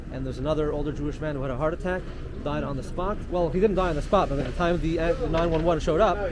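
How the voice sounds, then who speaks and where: Amid audible room echo and noticeable background noise, a man with a fairly high pitch speaks at a very fast pace with fairly even intonation. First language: Yiddish. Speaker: community guide. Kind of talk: casual chat.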